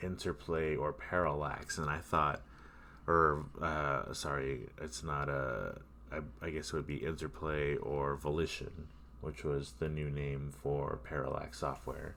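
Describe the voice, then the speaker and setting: A man speaks at a very deep, low pitch with vocal fry and a bright, sharp tone. His pace is fairly slow and his intonation fairly even. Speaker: gamer. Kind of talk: gameplay commentary. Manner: casual, rambling.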